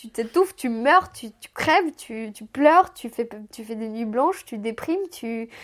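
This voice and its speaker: On a very clean recording with a silent background, the speech moves at a fairly slow pace with lively intonation and big swings in loudness. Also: woman. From Moldova. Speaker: podcast guest recounting her life. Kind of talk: personal storytelling interview. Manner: halting, with repetitions.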